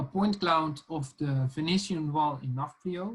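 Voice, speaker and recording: A man speaks at a fairly high pitch with ordinary pitch variation. His pace is fairly slow. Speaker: lecturer. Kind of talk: online tutorial lecture. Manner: hesitant, many fillers.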